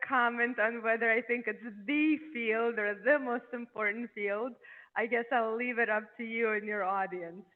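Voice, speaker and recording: In a European accent, the speaker talks at a fairly slow pace with fairly even intonation. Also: woman. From Eastern Europe. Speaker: neurologist. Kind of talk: podcast interview.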